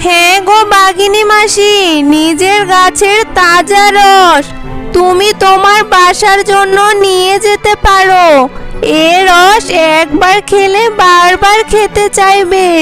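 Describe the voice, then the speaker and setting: In a cartoonish character voice, a woman talks at a very slow pace and an extremely high pitch over loud music in the background. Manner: scheming, bossy.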